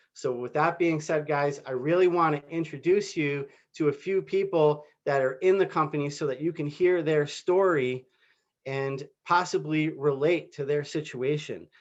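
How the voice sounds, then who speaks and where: Against a quiet background, a man with a plain, everyday voice speaks at a moderate pace, fairly high in pitch and with fairly even intonation. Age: 40s. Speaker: network marketing recruiter. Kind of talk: sales pitch. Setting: video call.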